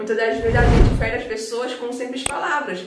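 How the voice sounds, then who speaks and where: Over noticeable background noise and audible room echo, a woman speaks in a fairly high pitch with fairly even intonation. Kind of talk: religious testimony talk. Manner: halting, repeats words.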